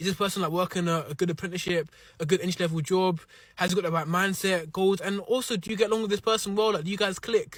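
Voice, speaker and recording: Speaking at a very fast pace, a man uses an animated tone. His pitch sits high. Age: 20s. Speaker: podcast host, entrepreneur. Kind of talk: casual chat on a date show. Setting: studio.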